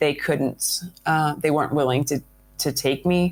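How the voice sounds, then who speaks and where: A woman talks with a very deep, low pitch. The recording is very clean, with a silent background. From Canada. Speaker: adventurer. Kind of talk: interview. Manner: halting.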